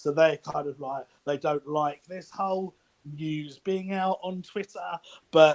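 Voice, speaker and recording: A man is speaking at a fairly slow pace. His intonation stays fairly even. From East London, England. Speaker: anonymous football insider. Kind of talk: casual chat.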